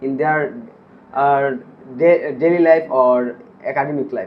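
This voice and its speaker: A man talks at a fairly slow pace. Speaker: IELTS test candidate. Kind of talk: speaking exam interview. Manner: hesitant, many pauses and repetitions; some mumbling.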